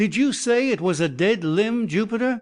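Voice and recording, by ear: Putting on a character voice, a man sounds shaky and high-pitched, with lively intonation at a moderate pace.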